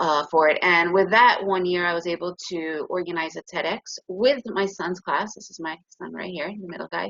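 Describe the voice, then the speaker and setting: Speaking in an ordinary speaking voice with an American accent, a woman holds a fairly low pitch and ordinary pitch variation, keeping a moderate pace with hardly any pauses despite big swings in loudness. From United States. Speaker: trading educator. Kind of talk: webinar presentation.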